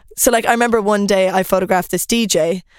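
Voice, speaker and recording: A woman speaks with an Irish accent at a fairly quick pace. Her intonation stays fairly even. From Ireland. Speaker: fashion influencer and former law student. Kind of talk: casual chat. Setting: studio.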